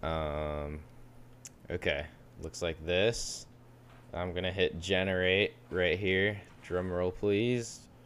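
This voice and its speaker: With an American accent, a man speaks at a very slow pace in a very deep, low pitch, using ordinary pitch variation and long, frequent pauses. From US West Coast. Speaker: podcast co-host. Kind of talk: casual chat.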